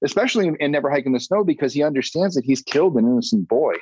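Very fast speech from a man with an American accent, a dark, mellow tone and very wide pitch swings, dry and close with no echo. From Massachusetts. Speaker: filmmaker. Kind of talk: casual chat.

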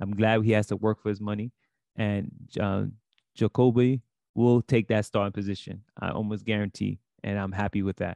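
With a New York accent, a man speaks at a moderate pace in a fairly low voice, the sound dry and close with no echo against a quiet background. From Brooklyn, New York. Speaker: sports podcast co-host. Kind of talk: casual chat.

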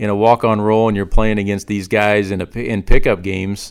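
A man with an unremarkable speaking voice and fairly low pitch. He talks at a fairly quick pace. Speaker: basketball podcast host. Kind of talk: casual interview. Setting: remote call.

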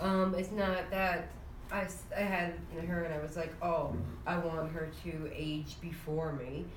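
Through noticeable background noise, a woman speaks with monotone, flat intonation. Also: fairly low pitch for a woman. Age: 20s. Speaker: podcast co-host, parent. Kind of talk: casual chat.

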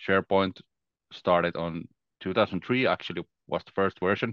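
A man with a Finnish accent speaks at a fairly low pitch. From Finland. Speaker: Microsoft 365 consultant. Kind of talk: casual interview chat.

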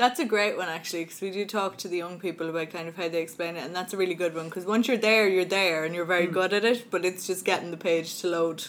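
A woman speaks very fast with an Irish accent, hardly pausing at all. Her pitch is medium and her intonation fairly even. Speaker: dyslexia advocacy coordinator, podcast host. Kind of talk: casual interview. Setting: studio.

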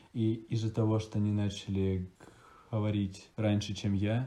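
The man speaks at a fairly slow pace. His intonation is monotone and flat. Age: 20s. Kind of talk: interview. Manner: pauses before words.

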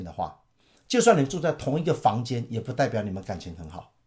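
Very fast and with very wide pitch swings, a man with a Taiwanese accent uses vocal fry in a very clean recording with a silent background. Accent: Taiwanese Mandarin. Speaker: pastor. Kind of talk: Bible teaching talk.

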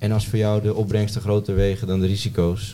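Noticeable background noise behind a man with a fairly low pitch. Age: 20s. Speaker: amateur road cyclist. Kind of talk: casual chat.

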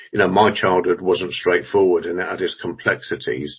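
A man talks at a very deep, low pitch with ordinary pitch variation. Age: 50s. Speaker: youth charity chief executive. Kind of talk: interview.

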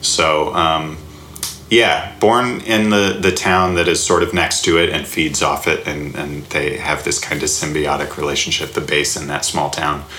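Very deep, low male voice with ordinary pitch variation, audible room echo and noticeable background noise. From US South, Alabama. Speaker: comedy writer and sketch teacher. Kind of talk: casual interview. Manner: halting, many fillers.

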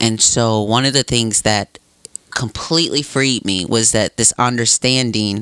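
An ordinary speaking voice with an American accent, fairly even intonation, and a dry, close sound with no echo. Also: man. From Wisconsin (Racine). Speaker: podcast guest. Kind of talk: casual chat.

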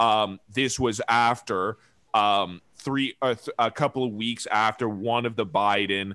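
A man with an unremarkable speaking voice, ordinary pitch variation and a fairly slow pace. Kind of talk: casual chat. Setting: video call.

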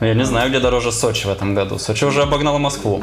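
A man at a very fast pace with lively intonation, audible room echo and music in the background. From Murmansk Oblast, northern Russia. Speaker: board game shop owner. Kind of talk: casual podcast interview.

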